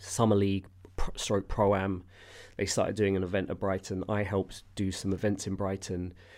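The speaker talks at a moderate pace in a London accent, with monotone, flat intonation. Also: man, fairly low pitch for a man. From Southwest London. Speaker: former basketball website founder, TV producer. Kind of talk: casual interview.

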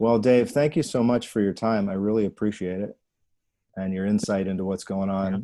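Against a quiet background, a man with an unremarkable speaking voice speaks at a fairly low pitch and a fairly quick pace with fairly even intonation. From New Jersey. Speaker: podcast host. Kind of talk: interview.

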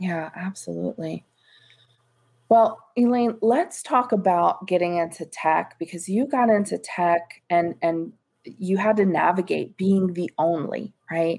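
This is an ordinary speaking voice with ordinary pitch variation, delivered at a fairly slow pace. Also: woman, medium pitch for a woman. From US, New York then Florida. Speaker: podcast host, diversity executive. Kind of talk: interview.

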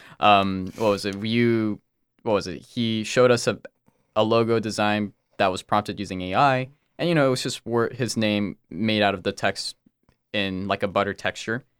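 With a normal speaking voice, a man speaks at a moderate pace and fairly low pitch, his intonation fairly even and the sound dry and close with no echo. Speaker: co-host and organization president. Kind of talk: casual chat.

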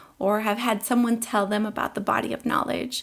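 A woman uses a normal speaking voice at a fairly high pitch, speaking at a moderate pace with fairly even intonation. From Colombia, raised in the US. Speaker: teacher. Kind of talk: interview.

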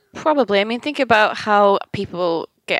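Speaking at a fairly quick pace with a Manchester accent, a woman is captured on a very clean recording with a silent background and a dry, close sound with no echo. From Manchester, England. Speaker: UX consultant and software developer. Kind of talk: casual podcast interview.

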